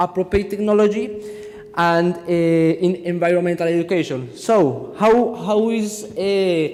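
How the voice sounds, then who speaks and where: A man with a Spanish accent, high-pitched with ordinary pitch variation, amid audible room echo and noticeable background noise. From Colombia. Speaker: engineering student presenting a project. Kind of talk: conference presentation. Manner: halting.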